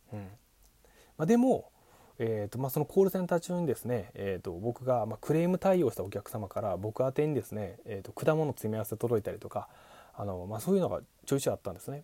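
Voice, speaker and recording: Speaking at a very fast pace, a man with a dark, mellow, somewhat breathy tone shows very wide pitch swings and big swings in loudness. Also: medium pitch for a man. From Japan, Kochi Prefecture. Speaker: podcast host, former call center worker, musician. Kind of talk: solo monologue talk. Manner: many filler words.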